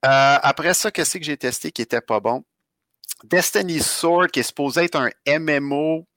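Speaking with a Quebec accent, a man uses a fairly high pitch and a bright, sharp tone, moving at a fairly slow pace with ordinary pitch variation and long, frequent pauses. The recording is very clean with a silent background and a dry, close sound with no echo. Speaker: podcast co-host, gamer. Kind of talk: casual chat.

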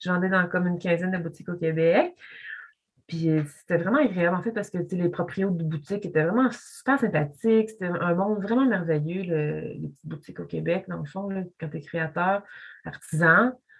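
A woman's fairly low, somewhat breathy voice at a fairly quick pace, with ordinary pitch variation. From Quebec, Montreal (Pointe-Claire). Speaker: visual artist. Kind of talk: casual chat. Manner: halting.

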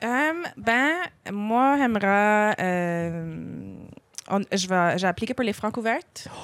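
The speaker talks very slowly in a strong Acadian accent with lively intonation. The loudness stays very even throughout. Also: woman, medium pitch for a woman. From Acadian, Clare, Nova Scotia. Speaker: singer-songwriter. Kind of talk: casual interview.

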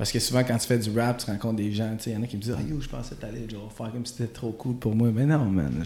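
At a very fast pace with hardly any pauses, a man speaks in a dark, mellow, somewhat breathy voice. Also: medium pitch for a man, fairly even intonation. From Quebec, Gatineau. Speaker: rapper. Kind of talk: casual chat.

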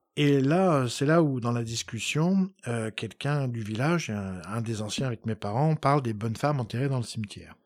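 On a very clean recording with a silent background, a man with a normal speaking voice talks at a moderate pace and medium pitch. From France, Poitou (Poitiers). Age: 50s. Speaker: historian. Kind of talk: interview. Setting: home of the host.

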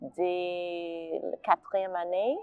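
A woman with an English accent. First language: English (speaking French). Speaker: artist and stage director. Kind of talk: personal testimony.

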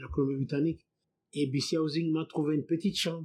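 Very fast speech, somewhat breathy, with fairly even intonation. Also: man. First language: not French (speaking French). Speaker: immigrant. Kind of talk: testimony.

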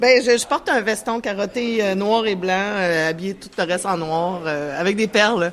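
A woman speaks at a medium pitch with ordinary pitch variation, fairly slowly and with hardly any pauses, over noticeable background noise. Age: 40s. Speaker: union representative. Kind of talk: interview.

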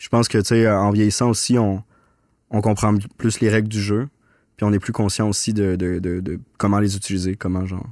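Recorded very cleanly against a silent background, a man speaks at a moderate pace with a fairly low pitch and monotone, flat intonation. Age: 30s. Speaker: documentary filmmaker. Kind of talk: casual interview chat.

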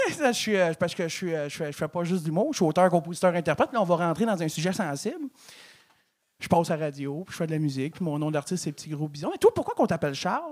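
In a Quebec accent, a man speaks very fast in a high pitch with ordinary variation, on a very clean recording with a silent background. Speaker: comedian. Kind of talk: stand-up.

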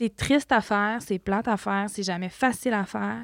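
A woman with an ordinary speaking voice talks at a fairly high pitch and fairly quick pace, in a dry, close, very clean recording with no echo and a silent background. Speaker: podcast host, community family worker. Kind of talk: interview.

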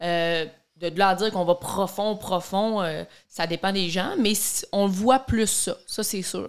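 In a Quebec accent, a woman speaks at a very slow pace with fairly even intonation on a very clean recording with a silent background. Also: medium pitch for a woman. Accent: Québécois French. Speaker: podcast co-host, daughter. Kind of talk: casual chat.

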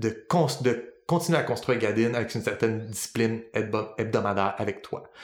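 Speaking at a moderate pace, a man of medium pitch talks with a Quebec accent. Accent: Québécois French. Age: 30s. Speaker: podcast host, linguist and worldbuilder. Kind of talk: casual chat.

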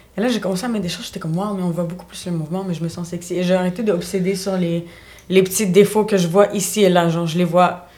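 A woman's medium-pitched voice at a very fast pace, monotone and flat in intonation, with big swings in loudness and noticeable background noise. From Montreal, Quebec (born in Bulgaria). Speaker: dance and fitness instructor. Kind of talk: casual chat. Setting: studio.

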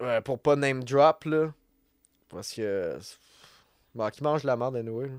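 With a Quebec accent, a man speaks at a medium pitch and a fairly slow pace, with long, frequent pauses and big swings in loudness. The very clean recording has a dry, close sound with no echo and a silent background. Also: ordinary pitch variation. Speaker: podcast host. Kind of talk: solo podcast monologue. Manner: rambling, many fillers and restarts. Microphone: new podcast microphone.

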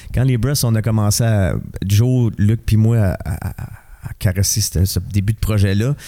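Very slowly and with ordinary pitch variation, a man with a Quebec accent speaks in a dark, mellow tone at a fairly low pitch. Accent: Québécois French. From Montreal (Rosemont). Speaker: musician and actor. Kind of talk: casual interview.

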